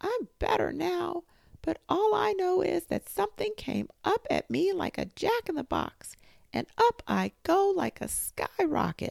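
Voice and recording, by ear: A squeaky, put-on character voice at an extremely high pitch, moving at a fairly slow pace.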